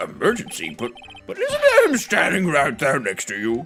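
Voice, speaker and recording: Clear music plays in the background as a woman performs a put-on character voice. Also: moderate pace. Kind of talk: courtroom speech. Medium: virtual streamer. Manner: hesitant, befuddled.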